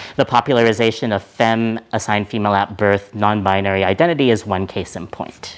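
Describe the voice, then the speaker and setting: Here a man speaks at a fairly low pitch with fairly even intonation. He keeps a fairly quick pace with hardly any pauses. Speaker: professor. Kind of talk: lecture. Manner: fast.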